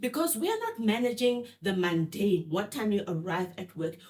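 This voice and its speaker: Somewhat breathy, a woman speaks at a fairly high pitch with very wide pitch swings. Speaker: podcast host. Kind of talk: interview. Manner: fast.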